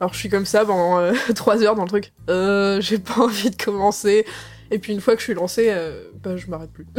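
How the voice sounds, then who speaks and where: Noticeable background noise sits behind a woman speaking at a medium pitch and a fairly quick pace. Her intonation is fairly even, while her loudness swings widely. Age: 20s. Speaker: audio drama author, game design student. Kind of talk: interview.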